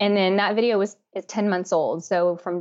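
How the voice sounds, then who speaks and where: At a moderate pace, a woman talks in an unremarkable speaking voice at a medium pitch. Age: 30s. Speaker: beauty YouTuber and makeup artist. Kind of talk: casual interview.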